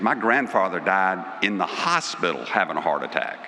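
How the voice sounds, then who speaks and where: Noticeable background noise behind a man speaking moderately, his pitch fairly low. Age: 60s. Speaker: award presenter. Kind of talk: awards ceremony speech.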